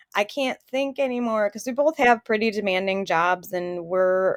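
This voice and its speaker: A woman with a Midwestern accent talks at a fairly high pitch with lively intonation, the sound dry and close with no echo. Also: very clean recording, silent background. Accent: Midwest. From US Midwest. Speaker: podcast co-host. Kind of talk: casual chat.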